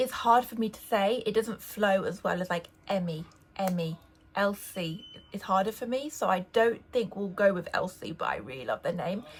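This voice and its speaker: A woman speaks with an English accent at a medium pitch, her intonation lively. Her pace is fairly quick, and there is noticeable background noise. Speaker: lifestyle vlogger. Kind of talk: casual vlog talk.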